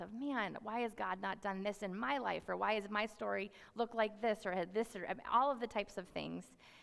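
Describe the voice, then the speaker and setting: A woman's medium-pitched voice with vocal fry at a very fast pace. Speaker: youth ministry worker. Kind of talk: sermon.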